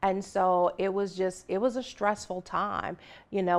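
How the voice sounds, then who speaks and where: An ordinary speaking voice at a moderate pace sits against a quiet background. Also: woman. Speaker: financial educator and author. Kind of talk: interview. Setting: television studio.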